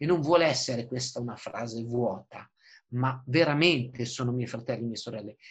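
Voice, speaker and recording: A man's voice comes across somewhat breathy. His intonation is lively. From northern Italy, Busto Arsizio (Lombardy). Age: 40s. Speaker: environmental lawyer and political activist. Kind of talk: interview.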